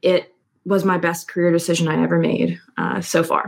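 Her fairly low pitch carries vocal fry as this woman talks with an American accent. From US, Philadelphia suburbs, Pennsylvania. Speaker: copywriter and marketing strategist. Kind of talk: interview conversation.

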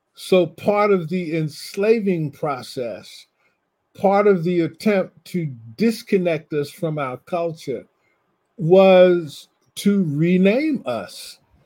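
Speaking very slowly with an American accent, a man has a high voice with a dark, mellow tone and ordinary pitch variation. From US Northeast. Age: 60s. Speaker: professor and poet. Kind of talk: conversational discussion. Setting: video call.

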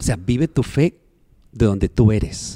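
A man's dark, mellow voice at medium pitch, ordinary in pitch variation, very slow in pace, with a dry, close sound and no echo. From Mexico, Sonora. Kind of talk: interview testimony.

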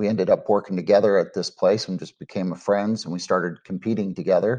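Against a quiet background, a man with an unremarkable speaking voice and fairly low pitch talks at a fairly quick pace. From Texas, Dallas-Fort Worth. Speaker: cook-off association founder. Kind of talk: interview.

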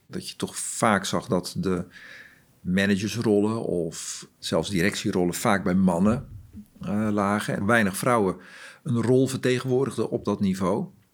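A man speaks in a plain, everyday voice, fairly low in pitch and at a fairly slow pace, with ordinary pitch variation on a very clean recording with a silent background. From Groningen, northern Netherlands. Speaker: corporate talent and diversity lead. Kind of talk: interview.

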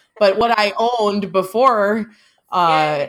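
A woman with a normal speaking voice, medium pitch and ordinary pitch variation, on a very clean recording with a silent background. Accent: American. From US Midwest, small town. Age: 30s. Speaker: podcast host, farm wife. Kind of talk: casual chat.

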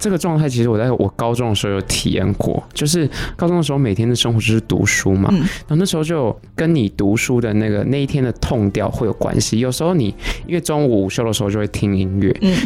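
A man with a Taiwanese accent talks at a very fast pace with lively intonation and a medium pitch. Noticeable background noise can be heard. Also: very even loudness. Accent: Taiwanese Mandarin. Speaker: substitute podcast host. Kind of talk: casual chat.

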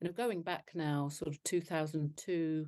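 In a London accent, a woman speaks with a very deep, low, dark, mellow voice and monotone, flat intonation over a quiet background. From northwest London. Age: 60s. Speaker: charity founder. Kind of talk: interview. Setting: video call.

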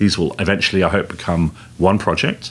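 A man with an English accent talks at a moderate pace and fairly low pitch, with ordinary pitch variation. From England. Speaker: tech company executive. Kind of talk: interview. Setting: conference venue.

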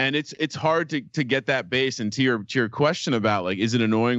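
In an ordinary speaking voice, a man goes at a fairly quick pace. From New Jersey, Fanwood. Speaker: sports gambling podcaster. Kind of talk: casual chat.

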